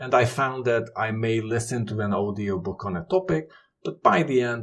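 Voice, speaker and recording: This speaker has a non-native accent, talking at a moderate pace with ordinary pitch variation. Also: man, medium pitch for a man. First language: not English. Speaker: YouTuber on knowledge management. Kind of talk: tutorial.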